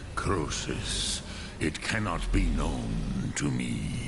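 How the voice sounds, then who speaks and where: Loud background noise fills the clip. A man uses a put-on character voice at a very slow pace. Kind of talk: epic fantasy game dialogue. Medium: game stream. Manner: slow, formal, ceremonious.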